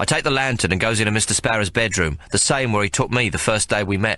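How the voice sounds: This clip features a natural reading voice.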